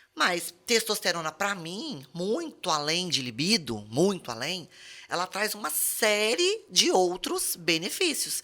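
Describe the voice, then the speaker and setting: A woman at a very slow pace, her bright, sharp tone marked by very wide pitch swings. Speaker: pharmacist podcast host. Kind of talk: podcast conversation.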